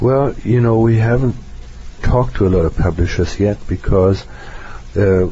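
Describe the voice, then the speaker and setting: A fairly low-pitched man at a moderate pace, very even in loudness, with long, frequent pauses over noticeable background noise. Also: ordinary pitch variation. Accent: non-native. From Germany. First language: German. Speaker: psychotherapist. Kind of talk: interview.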